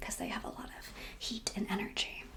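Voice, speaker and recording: Soft-spoken and relaxed in tone, a woman talks. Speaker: ASMR creator and HVAC engineer. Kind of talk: ASMR whiteboard science lesson. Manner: soft-spoken, relaxed.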